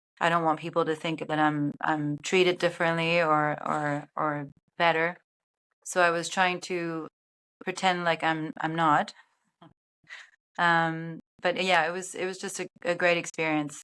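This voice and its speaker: A woman with a German accent, fairly low pitch, bright, sharp tone, monotone intonation, fairly slow pace, long, frequent pauses, very clean recording with a silent background. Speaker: TV sports broadcast producer and director. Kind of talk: interview. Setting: podcast interview. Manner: hesitant, many fillers.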